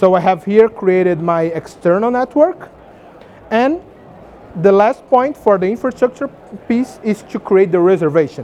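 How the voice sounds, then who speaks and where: At a moderate pace, a high-pitched man talks with lively intonation and long, frequent pauses. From Brazil. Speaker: tech company engineer presenting at conference. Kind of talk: conference talk with demo.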